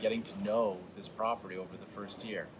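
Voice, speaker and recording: A man at medium pitch and a fairly quick pace, against noticeable background noise. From New England. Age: 40s. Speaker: tech startup CEO. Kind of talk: interview.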